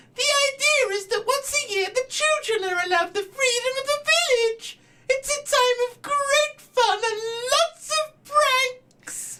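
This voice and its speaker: A squeaky, put-on character voice at an extremely high pitch goes along at a fairly slow pace. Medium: actual play. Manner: chirpy, excitable.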